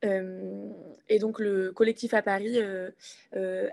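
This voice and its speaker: A woman's flat, monotone voice against a quiet background. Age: 20s. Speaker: climate activist. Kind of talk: political discussion.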